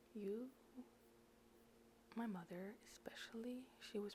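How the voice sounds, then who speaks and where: Behind the fairly slow speech, background noise is clearly audible. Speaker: personal vlogger. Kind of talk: personal advice talk. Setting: at home at night, others sleeping.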